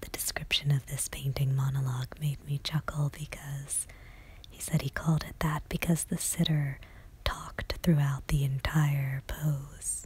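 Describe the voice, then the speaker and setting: Someone whispers softly at a moderate pace. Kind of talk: ASMR art gallery tour narration. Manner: soft-spoken, whispered.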